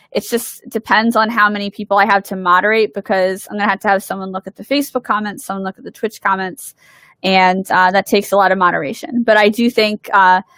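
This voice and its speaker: A woman with a Philadelphia accent talks fairly quickly at a medium pitch in a bright, sharp tone. The recording is very clean, with a silent background and a dry, close sound with no echo. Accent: Philadelphia American. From US Northeast, Philadelphia. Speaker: game designer. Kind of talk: livestream Q&A. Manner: fast; animated.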